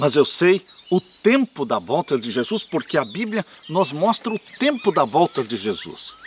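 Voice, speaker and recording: The pace is fairly slow, with very wide pitch swings. Noticeable background noise runs underneath. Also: man. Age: 70s. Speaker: pastor. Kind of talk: sermon. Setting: outdoors.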